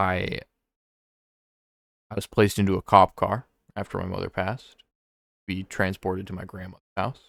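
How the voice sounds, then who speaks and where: A man's very deep, low voice at a moderate pace, monotone and flat, with long, frequent pauses, in a very clean recording with a silent background and a dry, close sound with no echo. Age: 20s. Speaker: vlogger. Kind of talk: personal monologue about grief. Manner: halting, many fillers.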